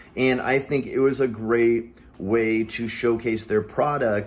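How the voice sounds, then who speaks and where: The man's voice sits at a medium pitch. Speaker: marketing company owner. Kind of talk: business talk to camera. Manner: fast; animated.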